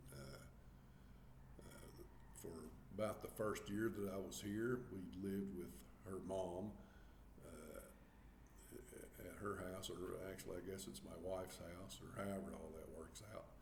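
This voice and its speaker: With a Southern US accent, a man speaks in a very deep, low pitch with vocal fry and ordinary pitch variation. His pace is fairly slow, with long, frequent pauses and audible room echo. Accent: Southern US country. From US South, Arkansas. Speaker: vlogger. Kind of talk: casual chat. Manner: halting, many fillers.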